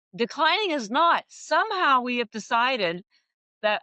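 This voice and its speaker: Her fairly high voice swings very widely in pitch as this woman talks in an animated tone at a moderate pace. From Canada. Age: 60s. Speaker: health food company founder. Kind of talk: interview.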